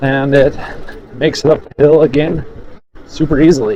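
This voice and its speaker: Noticeable background noise beneath a fairly high male voice. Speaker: e-bike reviewer. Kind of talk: product review while riding. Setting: outdoors, riding off-road. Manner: animated.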